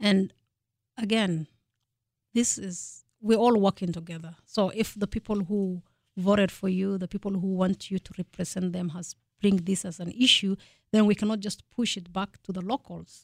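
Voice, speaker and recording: A woman with a medium-pitched, somewhat breathy voice speaks at a moderate pace with fairly even intonation and big swings in loudness, recorded very cleanly against a silent background with a dry, close sound and no echo. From Kenya. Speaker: state legislator. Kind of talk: radio interview.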